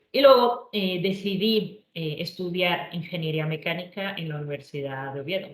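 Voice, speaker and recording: A woman speaking at a moderate pace. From Colombia, Bogotá. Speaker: engineer and tech entrepreneur. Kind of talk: presentation talk. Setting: online virtual event.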